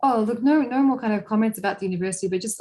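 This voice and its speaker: Talking at a very fast pace, a woman with an Australian accent uses ordinary pitch variation. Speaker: university representative. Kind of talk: online webinar presentation.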